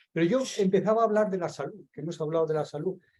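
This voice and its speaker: A man's high voice with a dark, mellow tone, a fairly quick pace and ordinary pitch variation. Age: 60s. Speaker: seminar participant. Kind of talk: group discussion.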